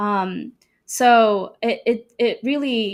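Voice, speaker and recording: A woman speaks with an Arabic accent. The recording is very clean, with a silent background. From Sudan and Saudi Arabia. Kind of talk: testimony interview.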